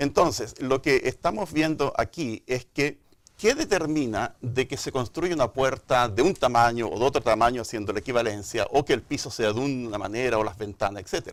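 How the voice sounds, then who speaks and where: A man with a Chilean accent at a medium pitch, lively intonation, moderate pace, hardly any pauses, very clean recording with a silent background. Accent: Chilean, marked. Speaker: microbiology and genetics professor. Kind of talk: TV interview explanation. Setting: studio.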